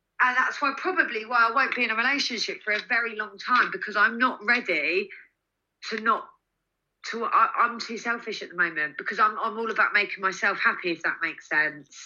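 A loud woman's voice, fairly high in pitch, bright and sharp in tone, with very wide pitch swings and a fairly quick pace. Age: 30s. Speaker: magazine editor and influencer. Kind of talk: casual chat.

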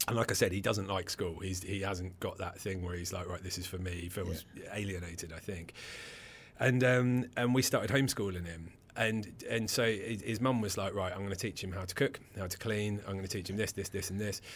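The man's voice is fairly low and somewhat breathy. He speaks at a fairly quick pace. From England, Suffolk-Essex border. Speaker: entrepreneur and mental health organisation founder. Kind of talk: interview. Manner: animated.

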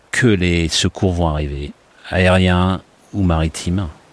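The speech moves at a very slow pace with noticeable background noise. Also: man. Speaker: airline pilot, rescue survivor. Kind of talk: personal testimony. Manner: hesitant, with fillers.

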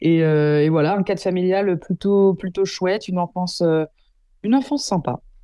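This woman's voice sits at a medium pitch, its variation ordinary. She keeps a moderate pace. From Paris region, Yvelines (Versailles). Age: 20s. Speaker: journalist and documentary maker. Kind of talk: interview. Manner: animated.

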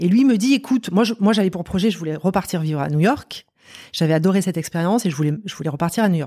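On a very clean recording with a silent background, a woman with an ordinary speaking voice talks at a fairly low pitch with ordinary pitch variation, the sound dry and close with no echo. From France, Marseille. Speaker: company director. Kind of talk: interview conversation.

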